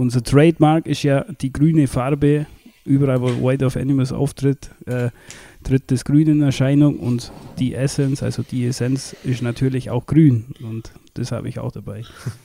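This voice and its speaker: At a moderate pace, a man of medium pitch speaks in a dark, mellow tone with monotone, flat intonation. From Bavaria, Allgäu. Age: 30s. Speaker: metal band drummer. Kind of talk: casual chat. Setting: remote call over the internet.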